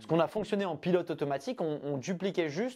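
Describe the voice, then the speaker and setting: Intonation from this man is lively, and he speaks very fast. The audio is very clean against total silence. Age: 20s. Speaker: breathwork practitioner and entrepreneur. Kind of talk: casual interview conversation. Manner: hesitant, many fillers.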